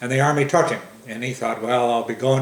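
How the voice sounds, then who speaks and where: With an American accent, a man speaks in fairly even intonation, and audible room echo surrounds his voice. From US Midwest. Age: 70s. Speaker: family elder telling oral history. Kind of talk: oral history interview. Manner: halting, many fillers.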